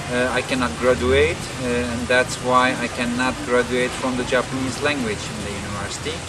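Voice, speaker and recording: A man talks at a medium pitch with monotone, flat intonation. Music plays in the background, and the room echoes audibly. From Turkey. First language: Turkish. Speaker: language teacher. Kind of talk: personal talk to camera. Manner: halting, many fillers.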